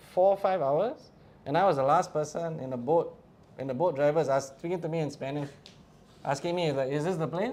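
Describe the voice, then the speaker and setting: Speaking at a moderate pace, this voice has a dark, mellow tone with a Singaporean accent. Its pitch rises and falls in an ordinary way. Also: man. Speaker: wildlife photographer and documentarian. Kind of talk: casual talk to a live audience. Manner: animated.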